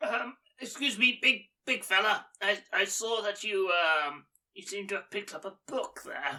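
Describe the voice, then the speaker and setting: A female-sounding voice performs a put-on character voice at medium pitch and a moderate pace. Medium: actual play. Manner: hesitant, halting.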